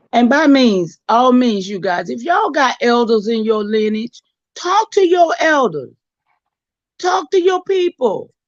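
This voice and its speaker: A woman's high-pitched voice with very wide pitch swings, in a dry, close sound with no echo. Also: fairly slow pace. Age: 60s. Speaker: community elder co-presenter. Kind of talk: live-stream talk with audience chat.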